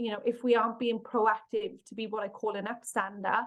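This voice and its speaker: A woman speaks in a Welsh accent at a moderate pace. Her pitch is fairly high and her intonation flat and monotone. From Wales. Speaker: workplace bullying consultant and author. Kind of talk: podcast interview.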